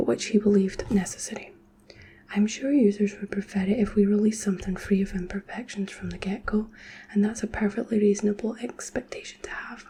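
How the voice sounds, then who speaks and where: A soft-spoken woman with a Scottish accent talks at a fairly quick pace in a fairly high, monotone, flat voice over noticeable background noise. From Scotland. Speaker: ASMR creator. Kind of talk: sleep reading of a nonfiction book.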